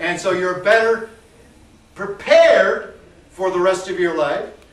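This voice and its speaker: Over noticeable background noise and audible room echo, a loud man with an American accent talks at a fairly slow pace. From US South. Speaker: artist and educator. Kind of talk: political rant to a gallery audience. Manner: animated.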